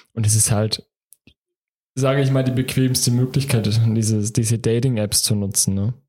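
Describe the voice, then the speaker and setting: A man speaks at a medium pitch in a dark, mellow, somewhat breathy tone with monotone, flat intonation. Long, frequent pauses break up his speech. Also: moderate pace, very even loudness. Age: 20s. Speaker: podcast co-host. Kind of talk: casual chat.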